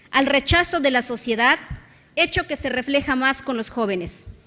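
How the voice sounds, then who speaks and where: Her voice high, bright and sharp, a woman speaks at a fairly slow pace. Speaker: state legislator. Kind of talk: parliamentary speech. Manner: formal.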